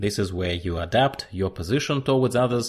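A man at a moderate pace, somewhat breathy, with ordinary pitch variation. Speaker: podcast host and agile coach. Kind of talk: solo educational podcast. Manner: hesitant with fillers.

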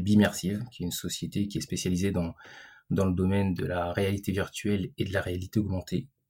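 A man's very deep, low voice, somewhat breathy with a dark, mellow tone, fairly even intonation and a moderate pace, in a very clean recording with a silent background. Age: 40s. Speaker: digital entrepreneur. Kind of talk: interview. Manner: halting, many repetitions and fillers.

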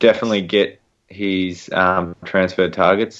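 A very deep, low-pitched man's voice with an Australian accent and flat monotone intonation, over a quiet background. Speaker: sports podcast co-host. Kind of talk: casual chat.

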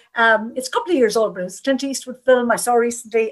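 This woman speaks with an Irish accent at a fairly high pitch. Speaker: panel chair and moderator. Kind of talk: moderated panel webinar. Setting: online webinar.

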